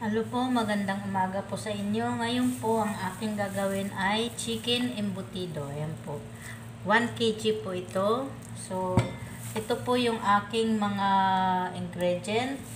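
Over background music, a woman talks at a fairly slow pace. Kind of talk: cooking tutorial. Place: kitchen. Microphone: camera far.

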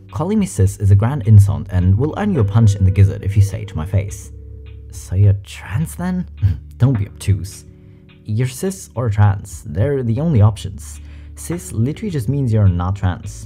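Faint music plays in the background as the speaker goes at a moderate pace. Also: man, fairly low pitch for a man. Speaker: reaction content creator. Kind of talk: commentary and reading comments aloud. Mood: amused, light. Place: home room. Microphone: studio mic.

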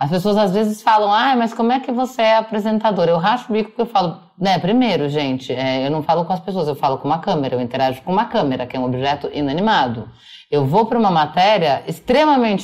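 Words come at a very fast pace. Pitch swings very wide throughout. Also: woman. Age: 40s. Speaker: journalist. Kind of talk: casual chat.

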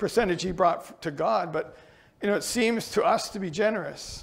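Pitch varies in an ordinary way as a man speaks. His pace is moderate. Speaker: pastor. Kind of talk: sermon.

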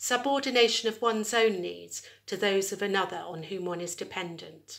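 A woman is speaking against a quiet background. Her pitch variation is ordinary. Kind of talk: lecture. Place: home room. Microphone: phone near.

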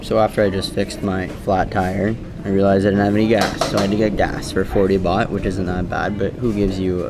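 Noticeable background noise and a fairly quick pace. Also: man. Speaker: travel vlogger. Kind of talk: casual vlog chat. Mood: amused, mildly exasperated. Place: cafe. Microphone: phone near.

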